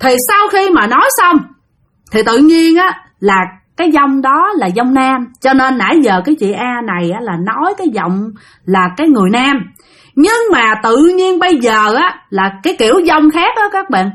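A woman speaks in a high pitch with a fairly bright tone. Her pace is moderate and her pitch swings a lot.

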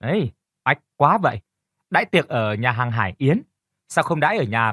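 Reading aloud in a natural voice, with lively intonation and a quiet background

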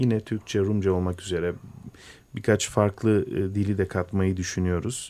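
In a very clean recording with a silent background, a man speaks at a fairly low pitch with a dark, mellow tone. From Istanbul, Turkey (Greek Orthodox family from Imbros). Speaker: musician. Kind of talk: radio interview. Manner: hesitant, many fillers.

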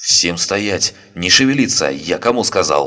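A man shouts in a put-on character voice with a very deep, low pitch. His pitch swings very widely. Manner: angry, frightened, shouting.

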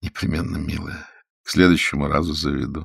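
A man's put-on character voice, extremely low in pitch with vocal fry, a slightly husky edge and a fairly bright tone, at a fairly quick pace with little pitch movement

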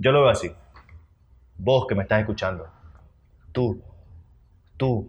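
A man talks over noticeable background noise. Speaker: podcast co-host. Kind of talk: casual chat. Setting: recording at 11 pm, keeping quiet. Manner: holding volume down.

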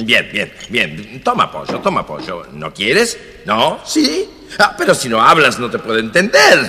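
A man's put-on character voice with an Argentine accent, medium in pitch and bright, sharp in tone, with very wide pitch swings at a fairly slow pace over faint background noise

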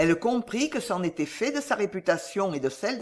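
The voice is an unforced reading voice. Its intonation is lively.

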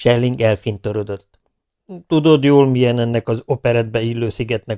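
Quiet surroundings and a natural reading voice

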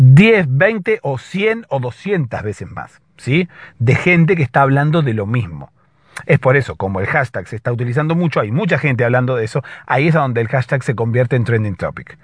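A man speaks with lively intonation. His voice has a slightly husky edge. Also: medium pitch for a man, moderate pace.

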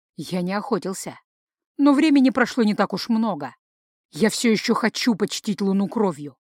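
Against a quiet background, a text is given plain reading aloud.

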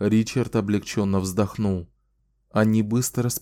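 With quiet surroundings, the passage is read aloud in a natural voice and fairly even intonation.

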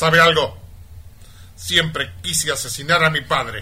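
A man's put-on character voice, slow and fairly high, bright and sharp in tone, with ordinary pitch variation

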